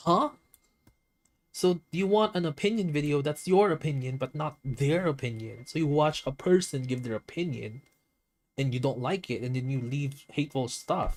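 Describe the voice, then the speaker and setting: A man's fairly high, somewhat breathy voice with ordinary pitch variation. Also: moderate pace. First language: not English. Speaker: streamer and digital artist. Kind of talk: casual livestream chat while drawing. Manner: stuttering; animated.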